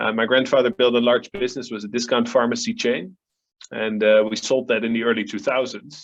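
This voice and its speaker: A man with a Dutch accent and fairly even intonation. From Netherlands. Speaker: family office advisor, philanthropist. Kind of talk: panel discussion.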